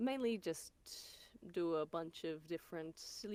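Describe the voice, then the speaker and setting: A woman's fairly low voice in an Australian accent, at a fairly slow pace. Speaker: voice actor. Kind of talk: casual interview chat.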